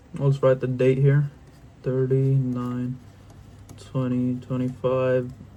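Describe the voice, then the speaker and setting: Speaking with an American accent, a man talks at a very slow pace. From outside the US. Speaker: youtuber. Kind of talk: casual interactive drawing tutorial. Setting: home bedroom. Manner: quieter than usual; casual, slangy.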